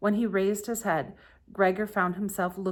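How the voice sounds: Here is a natural reading voice. It carries through the whole clip.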